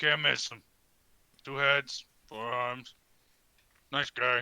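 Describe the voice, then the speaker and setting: At a very slow pace, a man puts on a character voice at a medium pitch. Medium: actual play. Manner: clipped, broken grammar.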